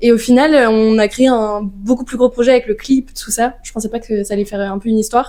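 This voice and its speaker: Talking very fast, a woman with a fairly high pitch keeps her intonation fairly even. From western France (Nantes). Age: 20s. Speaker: singer-songwriter. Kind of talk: casual interview. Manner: hesitant, many fillers.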